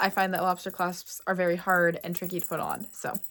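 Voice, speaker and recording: A woman with a Pennsylvania accent talks at a fairly quick pace in a bright, sharp tone. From Pennsylvania, US. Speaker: fashion content creator. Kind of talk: casual vlog talk. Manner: chatty, rambling.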